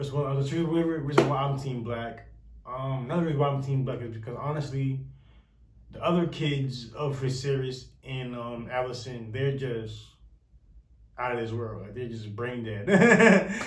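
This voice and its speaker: With audible room echo, a somewhat breathy man speaks at a moderate pace and medium pitch with ordinary pitch variation. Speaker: youtuber discussing a tv series. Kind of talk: casual commentary to camera. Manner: halting, many fillers.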